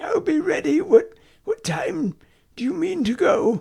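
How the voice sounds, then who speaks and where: A raspy, put-on character voice pitched extremely high, speaking at a fairly slow pace. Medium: read story. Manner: bright, cheeky.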